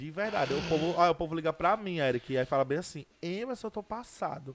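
Here a man has an unremarkable speaking voice with a fairly high pitch. He talks at a fairly quick pace with lively intonation. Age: 20s. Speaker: social media personality. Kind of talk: interview. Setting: studio.

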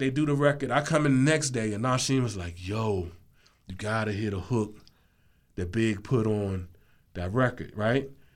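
Lively intonation at a moderate pace in an American accent, with audible room echo. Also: man. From Washington DC. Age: 50s. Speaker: music producer. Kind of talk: interview. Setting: studio.

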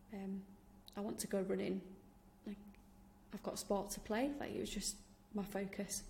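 With a Yorkshire accent, a woman talks at a moderate pace and medium pitch in a monotone, flat intonation, over noticeable background noise. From Yorkshire, England. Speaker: podcast host, founder of activewear brand, professor. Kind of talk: scripted podcast intro and solo talk.

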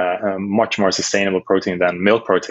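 A man speaks with a Dutch accent at a moderate pace. His intonation stays fairly even. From Netherlands. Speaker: startup founder. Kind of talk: interview.

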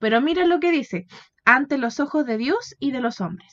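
At a moderate pace, a woman with a Chilean accent speaks at a high pitch. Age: 20s. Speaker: podcast co-host. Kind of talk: casual Bible study chat.

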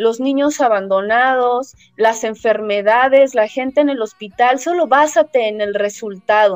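The speaker is a woman with a high pitch. She talks at a fairly slow pace. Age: 40s. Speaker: therapist and speaker. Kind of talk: interview.

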